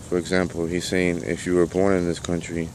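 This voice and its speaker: The delivery comes at a fairly quick pace with monotone, flat intonation. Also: man. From Cuba. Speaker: vlogger. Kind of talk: political monologue.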